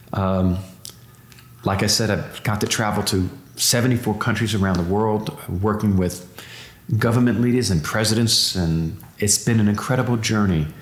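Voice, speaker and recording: A man talks at a moderate pace and a fairly low pitch, with fairly even intonation and long, frequent pauses. His loudness stays very even, and room echo is audible. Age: 60s. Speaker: entrepreneur and biotech investor. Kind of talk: interview conversation. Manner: halting, with frequent fillers and repetitions.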